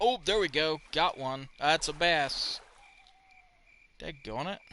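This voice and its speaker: A man speaks at a very slow pace, his fairly high voice bright and sharp. His pitch varies in an ordinary way. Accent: Southern US. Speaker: game streamer. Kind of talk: live gameplay commentary. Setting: live stream. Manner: casual, chatty.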